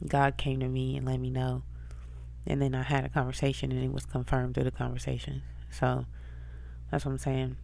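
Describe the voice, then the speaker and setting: A woman with a very deep, low pitch and a dark, mellow tone speaks at a fairly quick pace in monotone, flat intonation, with long, frequent pauses and audible room echo. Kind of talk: spiritual encouragement monologue. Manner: casual conversational. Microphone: close to microphone, whispering.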